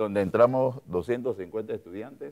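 A man at a very slow pace, ordinary pitch variation, quiet background. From Panama. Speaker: politician and physician; politician. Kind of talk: political interview. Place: studio. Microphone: lapel.

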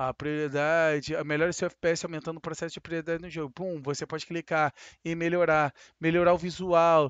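A fairly high-pitched male voice at a moderate pace, with a dry sound with no echo and a quiet background. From Brazil, Rio de Janeiro. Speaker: gaming youtuber. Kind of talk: sponsored gameplay tutorial. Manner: casual, animated. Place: home room. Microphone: headset.

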